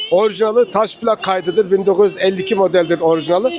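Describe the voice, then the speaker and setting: Noticeable background noise sits beneath talking that runs at a fairly quick pace. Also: man. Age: 60s. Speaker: record seller. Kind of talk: casual interview at market stall. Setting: outdoor antique market.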